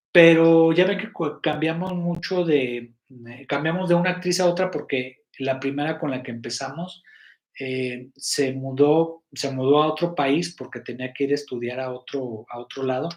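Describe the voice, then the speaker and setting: A man with a fairly high pitch, ordinary pitch variation, big swings in loudness and a fairly slow pace. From Mexico, Guadalajara. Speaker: web series producer and live host. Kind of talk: live stream chat to members. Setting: live stream. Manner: halting, many fillers and restarts.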